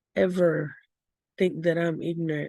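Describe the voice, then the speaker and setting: In a Southern US accent with a dark, mellow tone, the speaker keeps fairly even intonation at a moderate pace, recorded with a dry, close sound with no echo against a quiet background. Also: woman. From US South. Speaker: vlogger. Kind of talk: casual vlog rant.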